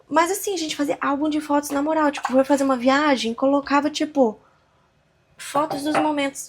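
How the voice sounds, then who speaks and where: Relaxed in tone, a woman with a high pitch speaks at a fairly quick pace with fairly even intonation. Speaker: podcaster / vlogger. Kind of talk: casual monologue. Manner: relaxed, conversational.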